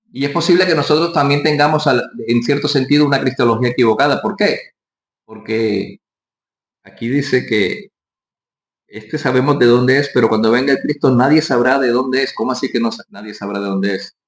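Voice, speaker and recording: This man speaks at a fairly quick pace in a Colombian Caribbean accent. His pitch varies in an ordinary way. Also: medium pitch for a man. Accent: costeño Colombian coastal. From Colombian Caribbean coast, Barranquilla. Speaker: pastor. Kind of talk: sermon.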